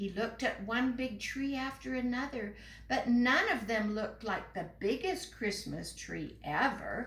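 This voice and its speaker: A woman uses lively intonation at a fairly slow pace. Noticeable background noise is present. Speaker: guest reader at an elementary school. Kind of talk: children's story reading.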